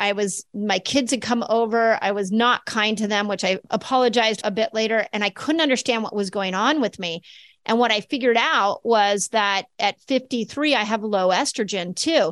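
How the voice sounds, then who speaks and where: A woman speaks with an unremarkable speaking voice at a fairly high pitch. Her pace is moderate and her pitch varies in an ordinary way. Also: hardly any pauses, dry, close sound with no echo. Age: 50s. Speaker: chiropractor and health author. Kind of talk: interview Q&A.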